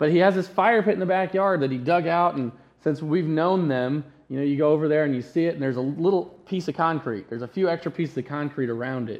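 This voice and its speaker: His pitch sits fairly high and varies in an ordinary way. The man talks very fast. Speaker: pastor. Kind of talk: sermon. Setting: church.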